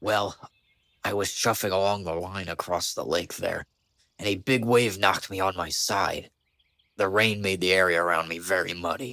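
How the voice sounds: In a very clean recording with a silent background, a man does a cartoonish character voice. It is raspy and fairly low-pitched, delivered at a moderate pace.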